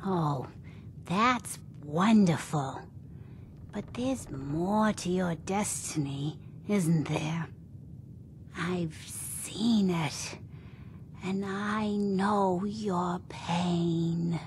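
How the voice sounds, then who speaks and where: A woman's put-on character voice, fairly low in pitch, very slow, with long, frequent pauses over clear background noise. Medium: video game.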